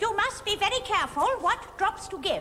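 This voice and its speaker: In a squeaky, put-on character voice, the speaker goes at a moderate pace over clear background noise. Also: female-sounding voice, extremely high pitch for a woman. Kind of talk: comic overacting. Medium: stage play. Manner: cackling, bawdy.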